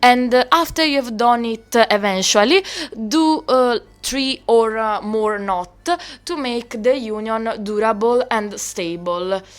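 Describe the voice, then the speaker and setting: A woman with an Italian accent, fairly high in pitch, with ordinary pitch variation and a fairly slow pace. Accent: Italian accent, noticeable. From Italy. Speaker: doll customizer, video creator. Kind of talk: tutorial. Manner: halting, with fillers.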